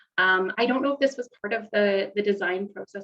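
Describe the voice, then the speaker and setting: A woman with a Canadian accent speaks at a fairly quick pace and medium pitch, with ordinary pitch variation. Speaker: event host for nonprofit. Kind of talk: virtual event hosting. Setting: video call. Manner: fast.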